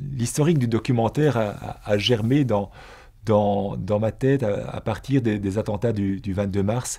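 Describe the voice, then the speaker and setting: Against a quiet background, a man with a dark, mellow tone speaks at a fairly slow pace with ordinary pitch variation. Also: fairly low pitch for a man. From Belgium. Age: 60s. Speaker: former teacher and businessman; former teacher. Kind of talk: personal testimony. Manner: halting, with frequent repetitions. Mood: reflective, earnest. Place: studio. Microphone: lapel.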